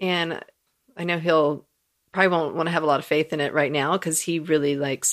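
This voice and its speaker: A woman speaks at a fairly quick pace in a very deep, low voice with vocal fry. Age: 40s. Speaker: podcast co-host and beauty and transformational coach. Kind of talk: casual chat. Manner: laughs often.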